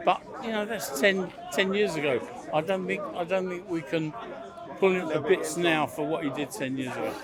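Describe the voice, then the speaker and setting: A high-voiced man speaks at a fairly quick pace with ordinary pitch variation, leaving long, frequent pauses. Crowd noise and audible room echo fill the background. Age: 70s. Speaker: member of the public debating. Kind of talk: street debate.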